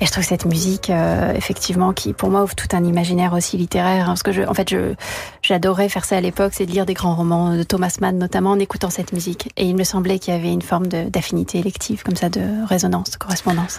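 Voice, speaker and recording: At a very fast pace, a woman with a fairly low pitch speaks in a flat monotone at very even loudness. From France. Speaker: violinist. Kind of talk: radio interview.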